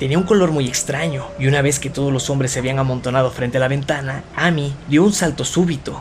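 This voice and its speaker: Noticeable background noise sits behind a man speaking at a very fast pace. His pitch is fairly high and his intonation fairly even. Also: hardly any pauses. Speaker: audiobook narrator. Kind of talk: dramatic horror narration, reading a story aloud. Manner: gravely atmospheric, building dread.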